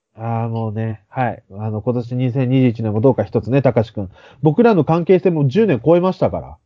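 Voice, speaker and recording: A man with a medium-pitched voice speaks at a moderate pace with lively intonation, in an ordinary speaking voice. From Fukuoka, Japan. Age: 30s. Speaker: podcast co-host. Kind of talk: casual chat.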